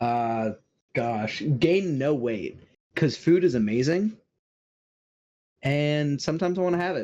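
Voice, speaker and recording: With a dark, mellow tone and lively intonation, a man speaks at a fairly high pitch and a fairly slow pace, leaving long, frequent pauses. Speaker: streamer. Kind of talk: casual interview chat. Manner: stutters often.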